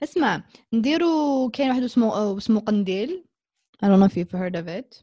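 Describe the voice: A woman with an Arabic accent speaks at a moderate pace in a fairly high pitch with very wide pitch swings. Her voice is somewhat breathy, with a dark, mellow tone.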